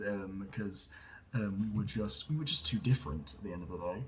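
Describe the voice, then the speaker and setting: Somewhat breathy and fairly low-pitched, a man talks at a fairly quick pace with ordinary pitch variation. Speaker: vlogger. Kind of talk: casual monologue. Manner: halting, many fillers.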